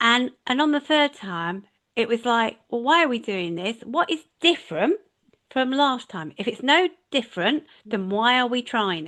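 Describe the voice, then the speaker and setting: High-pitched woman with a bright, sharp tone, very wide pitch swings and big swings in loudness over a quiet background. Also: moderate pace. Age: 60s. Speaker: leadership and management mentor. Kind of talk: casual interview chat.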